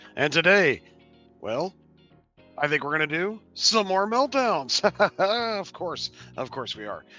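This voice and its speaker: In a cartoonish character voice, a high-pitched man speaks at a fairly slow pace with long, frequent pauses as faint music plays in the background. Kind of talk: comedic rant reaction. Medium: puppet. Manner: sarcastic, mocking.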